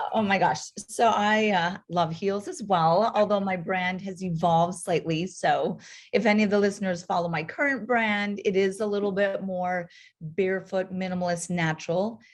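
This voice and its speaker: Over a quiet background, a woman speaks at a moderate pace, somewhat breathy, with fairly even intonation. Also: medium pitch for a woman. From North Dakota. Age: 40s. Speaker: podiatrist and entrepreneur. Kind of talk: interview podcast.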